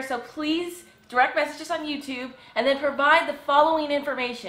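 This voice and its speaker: Audible room echo carries a woman's high pitch and fairly quick pace. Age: 20s. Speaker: fishing video creator. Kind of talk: casual chat. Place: home room. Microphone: camera far.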